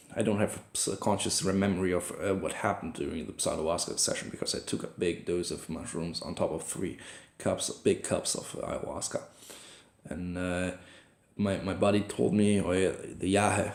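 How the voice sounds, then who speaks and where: This speaker has a German accent. The pace is moderate. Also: man. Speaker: vlogger. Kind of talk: personal video journal. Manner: halting, many fillers and restarts.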